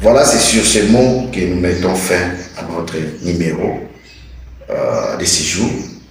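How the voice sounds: Vocal fry and lively intonation run through this fairly slow delivery, set in strong room echo. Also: man, low pitch for a man.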